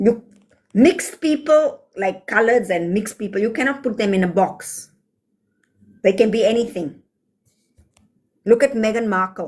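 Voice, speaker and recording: A woman's fairly high, somewhat breathy voice with lively intonation, a moderate pace and long, frequent pauses. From South Africa. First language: Afrikaans. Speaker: livestreamer. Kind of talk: livestream chat answering comments. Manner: animated.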